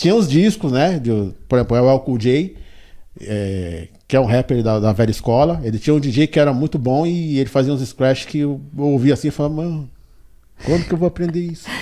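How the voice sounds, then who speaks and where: A man with a São Paulo accent, fairly high-pitched and dark, mellow in tone, with lively intonation at a moderate pace, on a very clean recording with a silent background. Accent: Paulistano Brazilian Portuguese. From São Paulo south zone, Brazil. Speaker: DJ. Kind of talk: interview. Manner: halting, repeats words.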